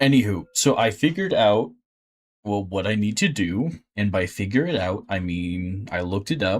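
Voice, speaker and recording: Mumbling at a moderate pace, a man speaks with a fairly low pitch and lively intonation. The recording is very clean, with a silent background. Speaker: video game streamer. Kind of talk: gameplay commentary.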